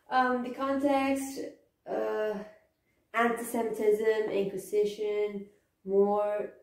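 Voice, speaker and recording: Speaking at a very slow pace, a woman uses a fairly high pitch and fairly even intonation, with long, frequent pauses. Room echo is audible. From Spain. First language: Spanish. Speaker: history video presenter; presenter. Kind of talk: informal lecture. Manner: halting, with fillers and repetitions. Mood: casual, slightly hesitant. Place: home room. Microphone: camera far.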